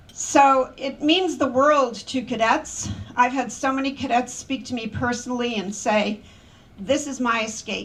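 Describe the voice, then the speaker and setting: Over noticeable background noise, a woman talks at a fairly slow pace in a high pitch with ordinary variation. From not Polish. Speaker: memorial speaker, preservation project leader. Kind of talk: memorial speech.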